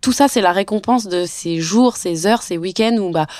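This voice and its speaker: This woman's voice sits at a medium pitch. She talks at a moderate pace. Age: 30s. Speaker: actress and luxury cosmetics marketer. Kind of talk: personal testimony. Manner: hesitant with fillers.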